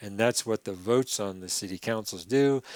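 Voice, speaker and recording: This is a normal speaking voice with ordinary pitch variation at a moderate pace. The sound is dry and close, with no echo. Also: man. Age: 60s. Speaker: river conservation activist. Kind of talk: podcast interview.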